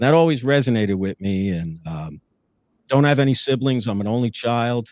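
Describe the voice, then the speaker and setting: This man speaks fairly quickly at a medium pitch with a New Jersey accent and lively intonation. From northern New Jersey. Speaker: former police lieutenant. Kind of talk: interview testimony. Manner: many filler words.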